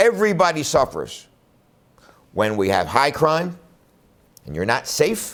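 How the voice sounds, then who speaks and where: With a Philadelphia accent, a man speaks at a moderate pace. His tone is animated. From Philadelphia, Pennsylvania (West Philadelphia). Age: 60s. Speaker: defense attorney and political candidate. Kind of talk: campaign speech to camera.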